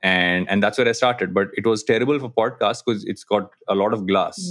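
With an Indian accent, a man speaks at a fairly quick pace with ordinary pitch variation. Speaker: podcaster and digital agency co-founder. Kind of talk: casual interview chat. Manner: halting, many fillers.

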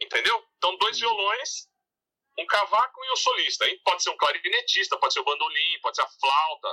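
A man at a moderate pace with a dry, close sound and no echo. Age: 50s. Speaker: music researcher and author. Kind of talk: interview.

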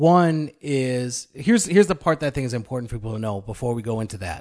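The man uses a normal speaking voice at a medium pitch. Lively intonation runs through what he says. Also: quiet background. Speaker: co-host, elder candidate. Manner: joking, playful.

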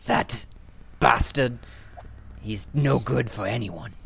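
A man uses a put-on character voice, fairly low in pitch, with lively intonation at a fairly slow pace. Clear background noise and hissing run behind him. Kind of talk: contemptuous.

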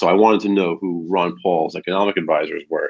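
A man with an American accent, fairly low in pitch, at a very fast pace. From New Jersey, near New York City. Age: 30s. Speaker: political activist. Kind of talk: casual interview.

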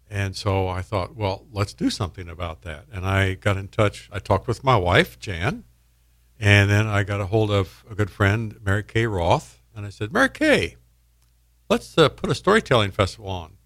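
A man with an American accent and an unremarkable speaking voice talks at a moderate pace and fairly low pitch, with ordinary pitch variation, on a very clean recording with a silent background. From Indiana, US Midwest. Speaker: storytelling event organizer. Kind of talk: casual radio interview.

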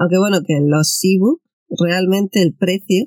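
A man with a dark, mellow tone speaks at a fairly slow pace, his pitch varying in an ordinary way. The sound is dry and close, with no echo. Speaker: podcast co-host. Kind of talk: casual chat. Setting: in a camper van.

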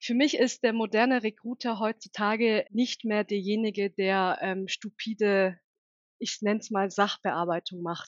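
A woman talks at a fairly slow pace with a fairly high pitch. Her pitch varies in an ordinary way. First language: Turkish (bilingual with German) (speaking German). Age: 30s. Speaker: recruiting and HR manager. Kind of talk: interview.

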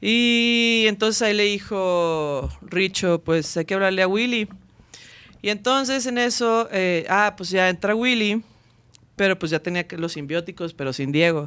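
This woman has an ordinary speaking voice, medium in pitch with ordinary pitch variation, and she talks at a fairly slow pace. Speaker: band singer. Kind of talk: casual chat.

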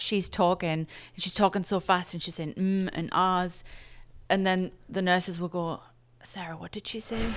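Her voice sits at a fairly low pitch for a woman, with fairly even intonation. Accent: English. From England. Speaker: emergency room nurse. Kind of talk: casual interview. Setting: video call.

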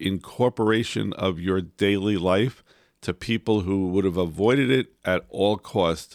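In a very clean recording with a silent background and a dry, close sound with no echo, a man speaks fairly slowly with ordinary pitch variation. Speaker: podcast co-host. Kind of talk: casual chat. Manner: loud.

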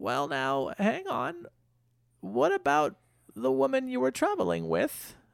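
The speaker drawls in a put-on character voice at a fairly slow pace. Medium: actual play. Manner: folksy, drawling, calls people dearie.

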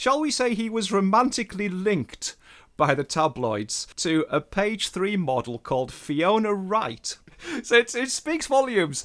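The speech moves at a fairly slow pace while the pitch swings very widely. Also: man. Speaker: writer and broadcaster. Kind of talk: casual interview chat. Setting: spare room, remote recording.

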